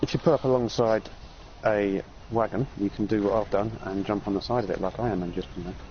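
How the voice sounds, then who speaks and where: Speaking with an English accent, a man talks at a very fast pace with fairly even intonation and a fairly low pitch. Noticeable background noise runs beneath him. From England. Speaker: video game streamer. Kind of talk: casual gaming chat with tips.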